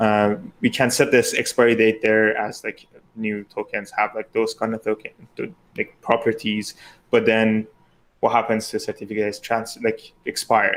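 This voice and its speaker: In a monotone, flat delivery at a medium pitch, a man with a non-native accent speaks at a moderate pace. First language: not English. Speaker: exam committee member. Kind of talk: live Q&A panel.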